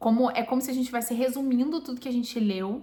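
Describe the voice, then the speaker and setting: The voice is a woman's, somewhat breathy. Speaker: Bible reading YouTuber. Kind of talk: Bible reading aloud with commentary. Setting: home, recorded or live video.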